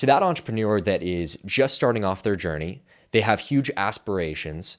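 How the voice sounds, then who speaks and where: Fairly low in pitch, a man talks in a normal speaking voice at a moderate pace with lively intonation, in a very clean recording over a silent background. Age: 20s. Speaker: podcast host. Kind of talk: interview podcast.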